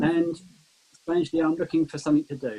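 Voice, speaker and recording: With a southern English accent, a man speaks in a dark, mellow tone with ordinary pitch variation. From southern England, Kent. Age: 60s. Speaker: retired volunteer. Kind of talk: video meeting introduction.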